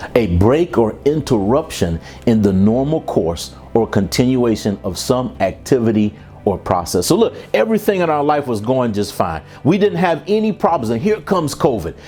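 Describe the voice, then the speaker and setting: Over music in the background, an energetic man talks at a moderate pace and medium pitch, his pitch swinging very widely. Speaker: keynote speaker and professional development trainer. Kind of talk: keynote talk to a professional audience. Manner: energetic, conversational, motivational.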